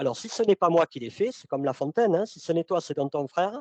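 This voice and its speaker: A man with a high pitch comes across in a dry, close sound with no echo. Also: quiet background. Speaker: sales consultant and trainer. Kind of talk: webinar presentation. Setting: online webinar. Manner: loud. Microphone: mic too close, speaker moved it away.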